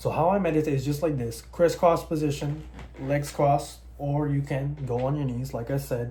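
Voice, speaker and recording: This man's speech carries audible room echo. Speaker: personal trainer. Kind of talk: tutorial. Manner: fast; casual.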